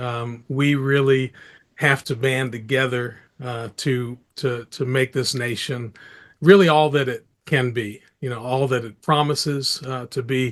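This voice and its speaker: A man with an American accent and a normal speaking voice, medium pitch, fairly even intonation and a fairly slow pace, against a quiet background. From United States. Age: 60s. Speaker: filmmaker and activist. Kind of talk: interview.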